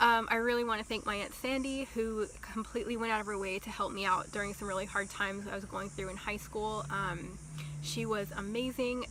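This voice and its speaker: A woman's fairly high voice carries ordinary pitch variation at a moderate pace while noticeable background noise is heard. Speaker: vlogger. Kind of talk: storytime vlog.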